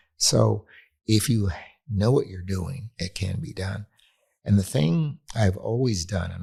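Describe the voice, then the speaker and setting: This man has vocal fry and a fairly low pitch, speaking at a moderate pace. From US West Coast, near Los Angeles. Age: 80s+. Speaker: urban planning expert. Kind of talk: interview conversation.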